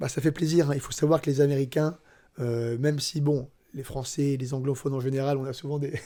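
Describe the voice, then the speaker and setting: Flat and monotone, a man's dark, mellow voice moves at a fairly quick pace. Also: fairly high pitch for a man. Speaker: MMA analyst. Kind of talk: casual chat. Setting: training camp, handheld microphones.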